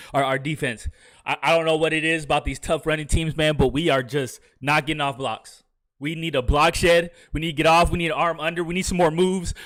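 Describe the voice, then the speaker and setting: Talking very fast, the man has a fairly high voice. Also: very clean recording, silent background. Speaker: video game streamer. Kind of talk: live game commentary. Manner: loud; animated.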